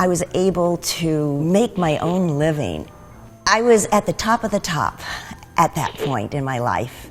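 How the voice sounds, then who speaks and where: A woman is talking with lively intonation. Behind her, music is playing. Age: 60s. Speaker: athlete and former actress. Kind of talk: personal testimony interview.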